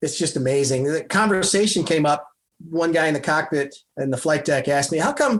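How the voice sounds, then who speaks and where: A man with a normal speaking voice, fairly high in pitch, with an American accent, ordinary pitch variation, very even loudness and a fairly quick pace, on a very clean recording with a silent background. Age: 60s. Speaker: retired fighter pilot, airline pilot. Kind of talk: casual interview chat.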